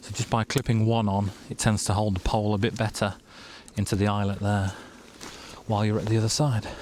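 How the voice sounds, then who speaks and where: A quiet man with an English accent speaks at a fairly quick pace in a fairly low pitch, his monotone, flat delivery broken by long, frequent pauses. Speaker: outdoor vlogger. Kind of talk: casual vlog narration. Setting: outdoors.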